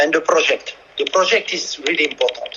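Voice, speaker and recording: A man with a French accent at a fairly quick pace. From France. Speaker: football coach. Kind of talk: interview. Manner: halting.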